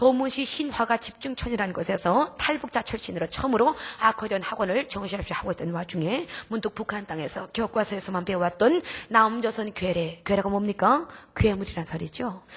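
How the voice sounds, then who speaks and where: Noticeable background noise surrounds a woman speaking at a fairly quick pace. Her pitch is medium and her intonation lively. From North Korea. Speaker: missionary, North Korean defector. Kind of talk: testimony. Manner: emotional.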